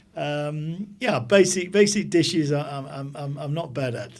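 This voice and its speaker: Pitched fairly high, a man with an English accent speaks with ordinary pitch variation, and room echo is audible. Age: 60s. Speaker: business executive. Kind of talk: casual interview.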